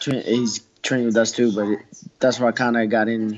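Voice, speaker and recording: Over light background noise, a man talks at a moderate pace in a monotone, flat intonation. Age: 20s. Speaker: MMA fighter. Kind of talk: interview. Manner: halting. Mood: relaxed, confident. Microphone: video call.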